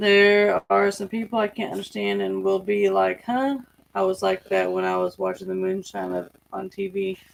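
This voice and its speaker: A woman with a Southern US accent at a moderate pace. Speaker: farm channel co-host. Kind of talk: livestream chat.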